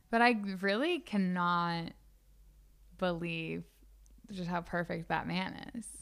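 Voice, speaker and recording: A woman speaks at a very slow pace, her pitch fairly low with ordinary variation. She leaves long, frequent pauses. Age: 20s. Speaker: podcast co-host. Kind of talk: casual chat. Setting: studio. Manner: stutters.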